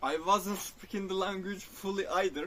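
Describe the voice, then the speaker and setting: A man speaks with a Turkish accent. His pitch is high and his pace fairly slow. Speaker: spiritual vlogger. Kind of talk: personal reflective monologue. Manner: halting, self-correcting.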